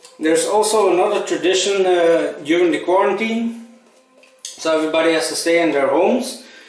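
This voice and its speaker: There is noticeable background noise and audible room echo as a man speaks at a high pitch with ordinary pitch variation. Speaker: shaving vlogger and first responder. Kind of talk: casual vlog tutorial. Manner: halting, with many fillers.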